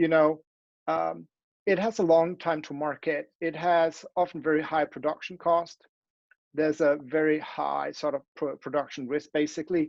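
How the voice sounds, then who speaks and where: The speaker has a Danish accent and a moderate pace. The background is quiet. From Denmark. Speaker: academic. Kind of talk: conference talk with slides. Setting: online event. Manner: halting, many fillers and restarts.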